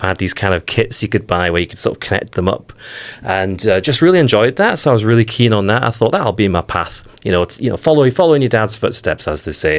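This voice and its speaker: At a very fast pace, a man speaks with a fairly low pitch. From northeast England, near Whitley Bay. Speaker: software engineer. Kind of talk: interview.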